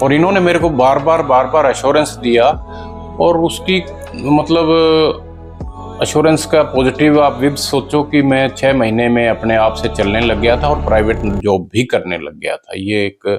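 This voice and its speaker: Music plays in the background as a man speaks with lively intonation. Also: medium pitch for a man. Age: old. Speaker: lawyer, retired air force serviceman. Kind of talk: interview answer.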